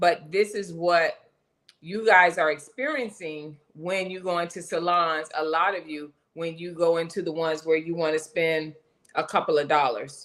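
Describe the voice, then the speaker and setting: At a moderate pace, a woman uses an ordinary speaking voice with a fairly low pitch and fairly even intonation. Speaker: hair coach and live show host. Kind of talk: casual live stream chat. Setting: live stream.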